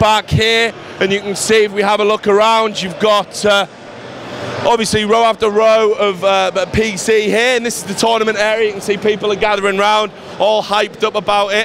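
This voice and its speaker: Speaking at a moderate pace over noticeable background noise, a man with an English accent uses a high pitch and monotone, flat intonation. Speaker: esports reporter. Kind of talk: video tour. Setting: indoor event hall. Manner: casual, frequent fillers.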